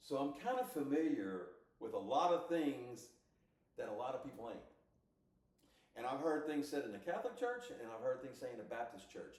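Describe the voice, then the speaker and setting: A man speaks at a moderate pace with very wide pitch swings and long, frequent pauses, in a room with audible echo. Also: fairly high pitch for a man. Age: 60s. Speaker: podcast co-host. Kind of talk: casual chat. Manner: animated.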